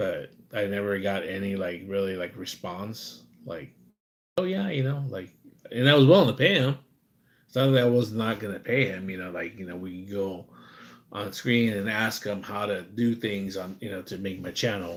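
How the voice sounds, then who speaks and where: A man in an ordinary speaking voice with an American accent talks at a moderate pace, with ordinary pitch variation and big swings in loudness. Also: fairly low pitch for a man. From USA. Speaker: live streamer. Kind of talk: casual live stream chat. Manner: rambling, repetitive fillers.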